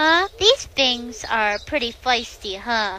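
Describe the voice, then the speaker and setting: Using a cartoonish character voice, a woman speaks at a very slow pace with a high pitch. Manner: practical, sharp-tongued.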